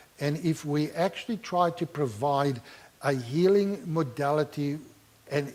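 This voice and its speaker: Talking at a fairly slow pace, a man with a non-native accent uses lively intonation at a fairly high pitch. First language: not English (English is third language). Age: 60s. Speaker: pastor and clinical therapist. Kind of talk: Q&A answer after talk.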